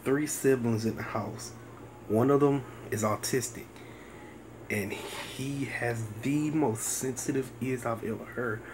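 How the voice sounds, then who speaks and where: A man whispers at a fairly slow pace, with long, frequent pauses. Noticeable background noise and audible room echo surround his voice. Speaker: fragrance reviewer. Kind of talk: product review. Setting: at home. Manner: whispering.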